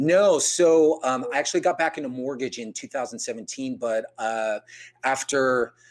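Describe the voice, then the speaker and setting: Here a man with an American accent talks in a fairly high pitch at a fairly slow pace. It's a very clean recording against a silent background. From US West Coast (San Jose, California). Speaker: mortgage broker, business owner. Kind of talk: interview.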